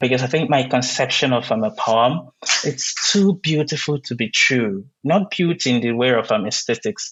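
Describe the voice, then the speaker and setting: Speaking in a Nigerian accent, a man keeps a moderate pace with lively intonation. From southeastern Nigeria. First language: Igbo. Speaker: poet. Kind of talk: interview. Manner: hesitant, many fillers.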